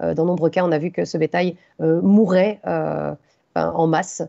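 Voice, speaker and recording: A woman with a fairly low voice talks with vocal fry. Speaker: conference speaker on mining impacts. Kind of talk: conference talk with slides. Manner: fast; hesitant, many fillers.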